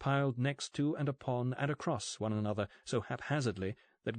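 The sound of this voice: An unforced reading voice carries the text. Pitch moves up and down in an ordinary manner.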